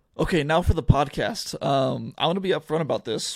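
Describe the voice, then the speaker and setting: A man with an American accent speaks at a moderate pace with ordinary pitch variation in an unremarkable speaking voice, on a very clean recording with a silent background. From Oregon, US (Eugene). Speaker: sports journalist and podcast host. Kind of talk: solo sports podcast. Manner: casual, with many filler words.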